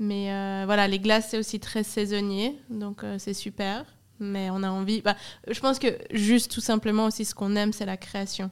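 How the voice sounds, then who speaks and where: Her intonation is monotone and flat. This woman's pitch is medium. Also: moderate pace. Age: 20s. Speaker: ice cream company co-founder. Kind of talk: casual interview. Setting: studio in a cellar.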